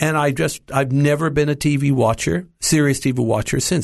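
With an American accent and a normal speaking voice, a man talks at a fairly quick pace and fairly high pitch, with ordinary pitch variation and a quiet background. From US, Los Angeles. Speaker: preacher and Bible teacher. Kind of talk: interview, testimony. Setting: studio.

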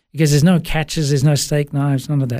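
In an Australian accent, a man speaks with a dark, mellow tone. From Sri Lanka, raised in Melbourne, Australia from age 8. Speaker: business coach and former worship pastor. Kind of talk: interview, personal testimony. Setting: studio.

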